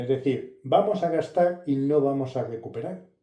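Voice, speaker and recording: A man's fairly high, dark and mellow voice at a fairly slow pace. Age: 60s. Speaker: car and tech youtuber. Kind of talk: casual vlog review. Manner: halting, many fillers.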